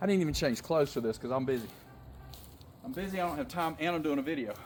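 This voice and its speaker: With an animated tone, a man speaks at a fairly high pitch with ordinary pitch variation. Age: 50s. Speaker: fitness and wellness vlogger. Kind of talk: workout tutorial. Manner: loud.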